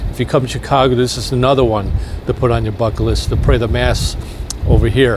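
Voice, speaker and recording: Talking at a very fast pace, a man comes through a dry sound with no echo and noticeable background noise. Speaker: vlogger on a church pilgrimage. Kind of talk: casual vlog chat. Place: street. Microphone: phone near.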